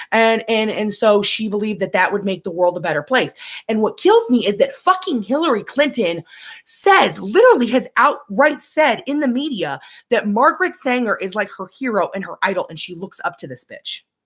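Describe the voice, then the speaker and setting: Fairly high for a woman, her voice swings very widely in pitch and shows big swings in loudness. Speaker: vlogger. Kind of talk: casual monologue. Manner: fast.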